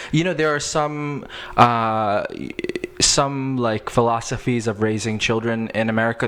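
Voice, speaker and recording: Amid noticeable background noise, a man speaks at a moderate pace and medium pitch with ordinary pitch variation. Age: 30s. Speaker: podcast host. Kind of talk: interview. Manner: animated.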